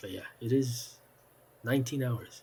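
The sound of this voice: A man talks at a fairly slow pace in a medium pitch, with vocal fry. His tone is slightly mellow and his pitch varies in an ordinary way.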